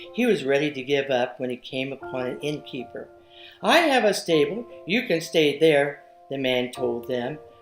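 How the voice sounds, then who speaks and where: The speaker talks at a moderate pace with lively intonation. Music plays in the background. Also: woman, very deep, low pitch for a woman. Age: 70s. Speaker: children's book author. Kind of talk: reading aloud.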